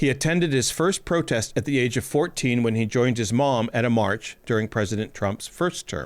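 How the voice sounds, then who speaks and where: Over a very clean recording with a silent background, a man with a plain, everyday voice at medium pitch talks at a fairly quick pace. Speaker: podcast host. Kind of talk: podcast intro narration.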